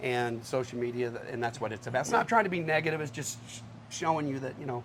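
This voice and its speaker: Speaking very fast in an American accent, a man shows big swings in loudness. Background noise is noticeable. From Texas, Houston area. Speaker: country singer-songwriter. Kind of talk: casual interview. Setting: live on location at a restaurant venue with audience.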